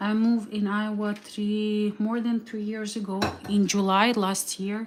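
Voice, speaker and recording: Noticeable background noise sits behind a woman speaking at a fairly slow pace with a Slavic accent. Her fairly high pitch stays monotone and flat. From Ukraine. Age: 30s. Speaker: vlogger. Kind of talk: cooking livestream. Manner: halting.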